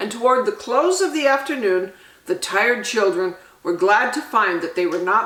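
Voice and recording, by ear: Aloud reading, done in a natural voice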